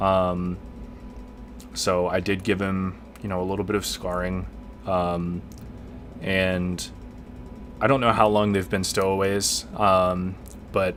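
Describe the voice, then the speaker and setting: A man mumbles at a very slow pace, leaving long, frequent pauses. His very deep, low voice keeps a fairly even intonation. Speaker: let's play gamer. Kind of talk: casual gameplay commentary. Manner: hesitant, mumbling.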